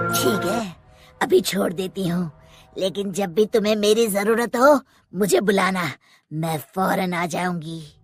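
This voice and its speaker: This cartoonish character voice sits at a middle pitch, with faint music playing in the background. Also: fairly slow pace. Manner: threatening.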